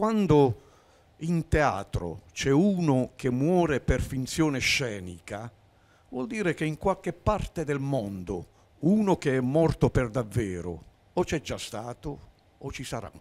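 A man talks at a very slow pace with long, frequent pauses. His pitch swings very widely. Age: 70s. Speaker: amateur actor; TV talk show guest. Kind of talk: casual chat. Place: studio. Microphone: handheld.

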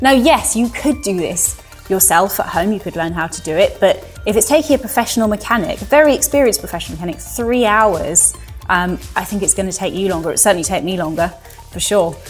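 With faint music in the background, a woman talks at a very fast pace. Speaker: presenter. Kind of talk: presenter talk to camera. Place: studio.

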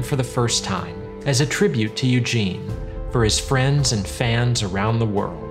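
Clear music plays in the background as the speaker moves at a fairly slow pace. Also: man. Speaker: filmmaker. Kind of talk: documentary narration. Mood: warm, earnest tribute. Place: home room.

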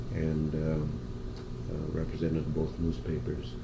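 A man with an American accent at a fairly slow pace, over noticeable background noise. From Madison, Wisconsin. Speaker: oral history interviewee. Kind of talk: interview answer. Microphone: old recording.

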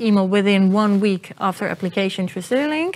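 A woman is speaking. Her pitch is medium. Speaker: university admissions officer. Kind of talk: panel discussion. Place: office.

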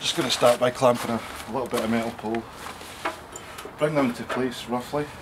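Over loud background noise, a man with a Scottish accent talks at a fairly quick pace with fairly even intonation. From Scotland. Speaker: amateur woodworker. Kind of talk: casual tool demonstration. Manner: casual, quick. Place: garden. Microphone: camera far.

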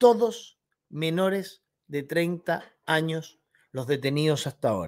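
A man's fairly high voice with lively intonation at a very slow pace, over a quiet background. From Chile. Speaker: political commentary youtuber. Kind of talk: opinion commentary monologue. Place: home room.

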